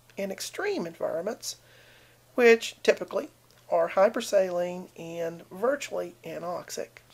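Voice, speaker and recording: A woman speaks with a southern Appalachian accent. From southern Appalachia, US. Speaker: video blogger. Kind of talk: casual talk to camera, science commentary. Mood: wry, sarcastic. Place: home room. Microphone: webcam.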